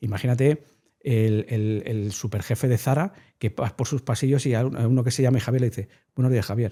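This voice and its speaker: In a very clean recording with a silent background, a man talks at a fairly quick pace, his medium-pitched voice dark, mellow and somewhat breathy. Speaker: behavioral science communicator. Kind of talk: interview conversation. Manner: fast; animated.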